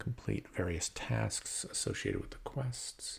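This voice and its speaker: A man's very slow speech with vocal fry. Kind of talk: soft-spoken ASMR board game unboxing. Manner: soft-spoken, hesitant, slow.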